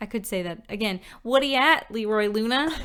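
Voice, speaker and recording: In a Newfoundland accent, a woman speaks at a fairly high pitch. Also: very clean recording, silent background. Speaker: podcast co-host. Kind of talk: casual chat; podcast case discussion. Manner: animated.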